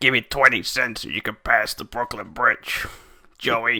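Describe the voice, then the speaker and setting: Put-on character voice from a man, medium pitch, moderate pace. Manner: gruff, mocking.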